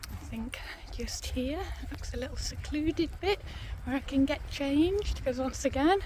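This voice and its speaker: Moderate speed from a woman, noticeable background noise all around. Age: 50s. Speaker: travel vlogger. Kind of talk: casual vlog narration. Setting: outdoors. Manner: soft-spoken.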